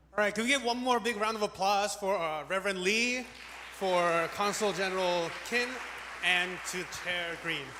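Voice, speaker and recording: A man projects a raised voice at a high pitch and a moderate pace, with ordinary pitch variation. Audible room echo and crowd noise fill the background. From Korea, moved to US at five. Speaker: event host. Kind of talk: event emcee announcements. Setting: church hall stage with audience.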